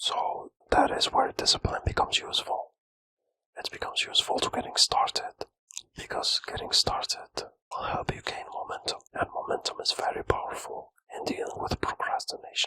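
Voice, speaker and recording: A man whispering, with a dry, close sound and no echo. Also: moderate pace. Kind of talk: whispered ASMR self-help talk to camera. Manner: whispered, soft, relaxing.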